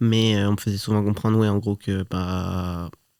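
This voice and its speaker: A man with a dark, mellow tone and fairly low pitch talks at a moderate pace in a monotone, flat intonation. The recording is very clean with a silent background and a dry, close sound with no echo. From Switzerland (Geneva). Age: 30s. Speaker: podcast guest. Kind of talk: interview conversation. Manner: halting, many hesitations.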